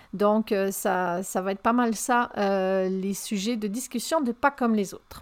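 A woman's fairly high voice at a very slow pace, in a very clean recording with a silent background. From France. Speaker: podcast host, communication consultant. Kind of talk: solo podcast monologue.

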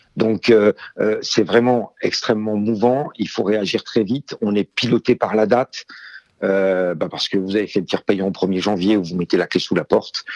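In a plain, everyday voice, a man speaks at a moderate pace and fairly low pitch with fairly even intonation, the sound dry and close with no echo. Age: 50s. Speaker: IT strategy director. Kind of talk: interview. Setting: phone call.

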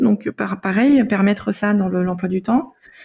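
A woman with a dark, mellow tone sounds somewhat breathy, her pitch varying in an ordinary way. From Denmark. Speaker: naturopath and author. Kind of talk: interview. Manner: hesitant, many fillers.

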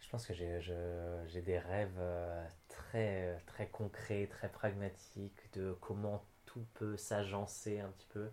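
In a very clean recording with a silent background, a man with a fairly low pitch and a dark, mellow tone speaks at a very slow pace in a monotone, flat intonation. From France. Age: 20s. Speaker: health network founder. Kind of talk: interview. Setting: La Rochelle. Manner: halting.

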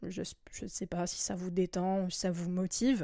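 Recorded dry and close with no echo against a very clean, silent background, a woman speaks at a moderate pace and medium pitch. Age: 20s. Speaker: podcast host. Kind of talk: solo monologue podcast. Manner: hesitant, many filler words.

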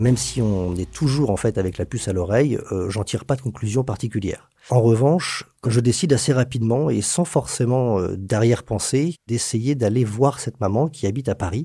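A man with a dark, mellow tone, somewhat breathy, at medium pitch and a moderate pace, with ordinary pitch variation and hardly any pauses. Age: 40s. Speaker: notary. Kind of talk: storytelling. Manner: hesitant fillers.

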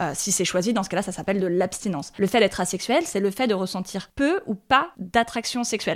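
A woman with an unremarkable speaking voice and medium pitch talks at a fairly quick pace with hardly any pauses and ordinary pitch variation in a very clean recording with a silent background. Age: 30s. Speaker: journalist and podcast creator. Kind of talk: interview.

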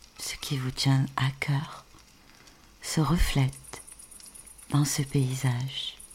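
A woman with a very deep, low pitch at a very slow pace, with long, frequent pauses and noticeable background noise. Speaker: sophrologist. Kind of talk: guided meditation. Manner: soft-spoken.

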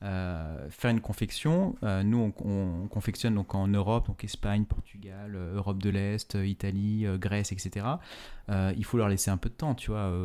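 Recorded very cleanly against a silent background, a man with a dark, mellow tone and fairly low pitch speaks at a fairly slow pace. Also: fairly even intonation. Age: 30s. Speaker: fashion entrepreneur. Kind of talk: interview. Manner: halting, many fillers and repetitions.

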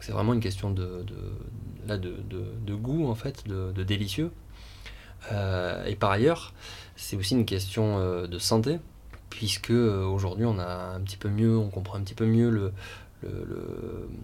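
A very slow pace with long, frequent pauses and audible room echo. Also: man, fairly low pitch for a man, ordinary pitch variation. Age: 30s. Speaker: restaurant co-founder and chef. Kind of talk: interview. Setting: outdoor guinguette on location. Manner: halting, many fillers and repetitions.

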